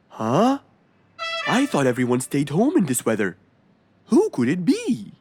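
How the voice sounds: In a put-on character voice, the speaker moves at a fairly slow pace with very wide pitch swings, a slightly mellow tone and a slightly husky edge, while faint music plays in the background.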